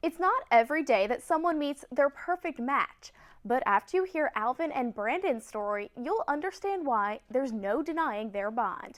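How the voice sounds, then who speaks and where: The speaker has an American accent. Their pitch swings very widely. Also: woman, high pitch for a woman, moderate pace, hardly any pauses, dry, close sound with no echo. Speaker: TV news anchor and reporter. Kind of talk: local TV news reporting.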